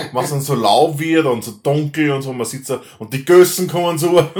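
With an Austrian accent, a man speaks at a moderate pace in a fairly high voice. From Austria, Upper Austria (Linz). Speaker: podcast host. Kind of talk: casual chat. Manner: halting.

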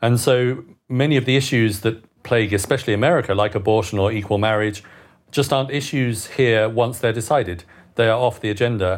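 A man with a British accent speaks at a fairly quick pace and a medium pitch. His loudness stays very even on a very clean recording with a silent background. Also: ordinary pitch variation. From England, Britain. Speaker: author and long-time expatriate. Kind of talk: casual panel discussion. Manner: wry, humorous.

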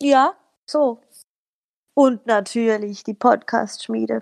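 Recorded with a dry, close sound and no echo, a woman talks at a very slow pace. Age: 30s. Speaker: local politician and social media manager. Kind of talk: casual chat.

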